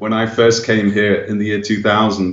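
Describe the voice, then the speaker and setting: A man's fairly low-pitched voice with an English accent, in monotone, flat intonation at a moderate pace, over noticeable background noise. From England. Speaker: missionary and evangelist. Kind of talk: radio interview. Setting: phone call.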